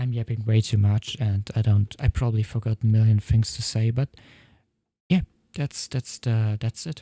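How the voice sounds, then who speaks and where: Dry and close with no echo, a somewhat breathy voice with a dark, mellow tone speaks at a moderate pace in a non-native accent, its intonation fairly even. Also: man, medium pitch for a man. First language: not English. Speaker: software developer vlogger. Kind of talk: tutorial. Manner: halting.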